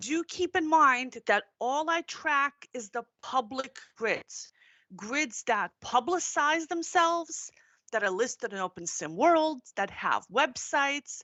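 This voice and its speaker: Pitch leaps and dives across a very wide range while the delivery crawls along at a very slow pace. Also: woman, high pitch for a woman. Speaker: conference speaker, tech journalist. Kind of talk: conference presentation. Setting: virtual conference, live streamed.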